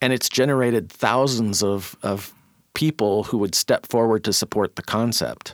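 In an American accent, a man with an ordinary speaking voice talks at a moderate pace with ordinary pitch variation and very even loudness, the sound dry and close with no echo on a very clean recording with a silent background. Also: medium pitch for a man. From US Pacific Northwest (Auburn, Washington). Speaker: columnist and community arts advocate. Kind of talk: podcast interview.

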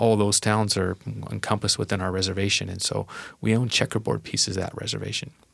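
A man with an American accent talks very fast, his fairly low voice showing vocal fry and fairly even intonation. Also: very clean recording, silent background. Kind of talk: casual chat. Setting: studio.

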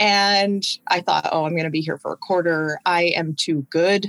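A woman with an American accent speaks at a moderate pace in a plain, everyday voice with fairly even intonation, the sound dry and close with no echo on a very clean recording with a silent background. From Washington State, US (South Sound). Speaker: university admissions director. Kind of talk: casual interview chat.

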